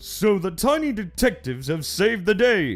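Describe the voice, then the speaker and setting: Soft music can be heard behind the voice. The speaker is a man. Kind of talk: radio show narration. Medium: audio drama.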